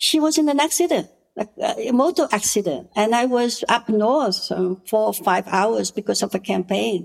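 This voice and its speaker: A woman with a Cambodian accent speaks at a fairly high pitch and a moderate pace, her intonation lively. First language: Khmer. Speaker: politician and women's rights activist. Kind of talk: interview. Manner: gentle.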